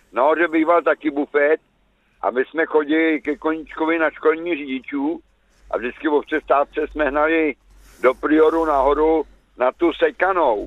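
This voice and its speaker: Here a man uses an unremarkable speaking voice at a fairly high pitch, keeping fairly even intonation and a moderate pace. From České Budějovice, South Bohemia. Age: 60s. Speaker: radio caller. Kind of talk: phone-in call. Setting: phone call from a car by the road.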